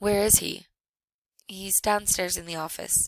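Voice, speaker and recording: In a put-on character voice, the speaker sounds raspy at a middle pitch and a moderate pace. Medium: read story.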